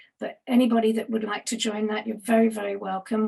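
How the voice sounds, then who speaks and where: With an Australian accent, a woman speaks at a fairly quick pace in a somewhat breathy, fairly high voice. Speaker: conference host and webinar organiser. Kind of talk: conference welcome and introduction. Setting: online webinar.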